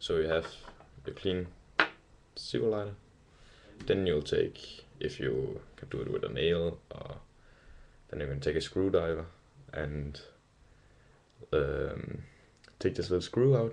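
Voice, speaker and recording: A man with a Danish accent, fairly slow in pace, with long, frequent pauses. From Denmark. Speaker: hobbyist video maker. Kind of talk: tutorial. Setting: webcam recording. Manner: halting, many fillers.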